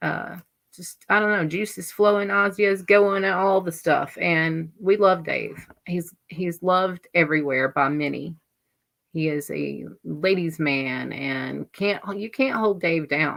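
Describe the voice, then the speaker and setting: This woman has a Southern US accent and a fairly low pitch. She speaks at a fairly slow pace with ordinary pitch variation. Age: 40s. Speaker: livestream host. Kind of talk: casual chat.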